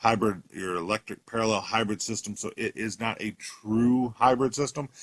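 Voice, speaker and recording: A man speaks in a fairly low voice. The recording is very clean and silent in the background, with a dry, close sound and no echo. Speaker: car salesman. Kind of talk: product walkthrough video. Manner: fast.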